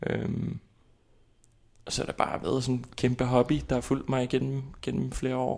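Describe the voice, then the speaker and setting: With long, frequent pauses, a man speaks at a moderate pace and medium pitch in a monotone, flat intonation. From Iceland, capital area. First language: Icelandic (speaking Danish). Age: 20s. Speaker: actor. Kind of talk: interview. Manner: halting.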